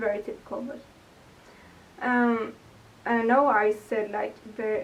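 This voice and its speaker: A woman with a Swedish accent talks in a fairly high voice with ordinary pitch variation over noticeable background noise. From Sweden, Gothenburg. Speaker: vlogger. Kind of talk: casual Q&A vlog. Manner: hesitant, many fillers. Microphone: poor microphone, hard to hear.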